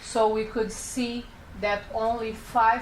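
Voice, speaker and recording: A woman with a non-native accent speaks amid noticeable background noise and audible room echo. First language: not English. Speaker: public health researcher. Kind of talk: conference presentation. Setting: panel event. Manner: slow; halting.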